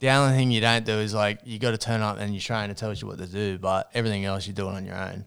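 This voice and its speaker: In a very clean recording with a silent background, a man with an Australian accent talks very fast at a fairly low pitch with fairly even intonation. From New South Wales, Australia (Hunter region). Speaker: ex-boxer and online personal trainer. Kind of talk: casual chat. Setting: studio.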